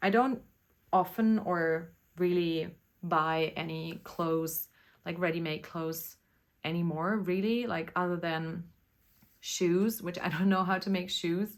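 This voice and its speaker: In a German accent, a woman speaks fairly slowly with a fairly low pitch, fairly even intonation and long, frequent pauses, on a very clean recording with a silent background. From Germany. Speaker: knitting podcaster. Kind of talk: casual chat. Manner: casual, hesitant with fillers.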